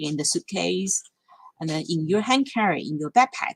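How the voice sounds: Lively intonation and a fairly bright tone, with a dry, close sound and no echo.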